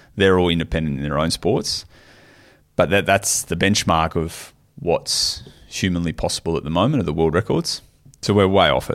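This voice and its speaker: Pitch moves with ordinary variation. Delivery is at a moderate pace. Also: man, very deep, low pitch for a man. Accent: Australian. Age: 30s. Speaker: professional triathlete and coach. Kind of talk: casual chat.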